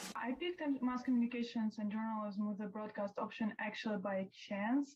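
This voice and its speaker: Somewhat breathy and fairly high-pitched, a woman with a Russian accent speaks at a moderate pace with fairly even intonation. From Moscow, Russia. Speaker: student athlete. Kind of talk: interview.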